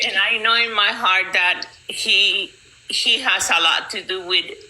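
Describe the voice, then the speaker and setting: A woman at medium pitch and a very slow pace, with noticeable background noise. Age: 50s. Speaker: community member sharing her story. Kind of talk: testimony. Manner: halting, repeats words.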